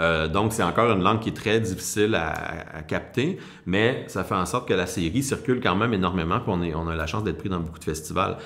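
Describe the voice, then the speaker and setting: In a Quebec accent, a man with a very deep, low pitch talks at a very fast pace with ordinary pitch variation. The room echo is audible. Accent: Québécois French. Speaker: TV producer. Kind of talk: interview. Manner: halting, many repetitions and hesitations.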